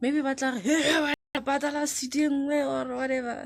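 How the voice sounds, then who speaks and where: A loud woman's voice at a fairly slow pace. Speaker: vlogger; university student. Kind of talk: casual vlog. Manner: animated.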